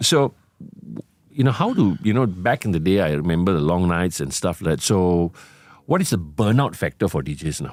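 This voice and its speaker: A man's very deep, low voice with lively intonation. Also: moderate pace. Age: 60s. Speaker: podcast host and veteran DJ. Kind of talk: interview.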